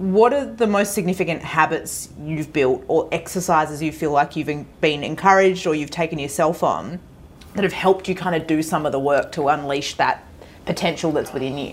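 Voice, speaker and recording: This woman talks in an Australian accent with a very deep, low pitch. Her pace is fairly quick, with ordinary pitch variation. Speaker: podcast host. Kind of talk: casual interview chat.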